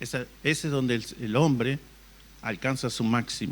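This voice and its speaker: A man speaks with an ordinary speaking voice. His pitch sits in the medium range and varies in an ordinary way. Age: 60s. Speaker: pastor. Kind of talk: sermon.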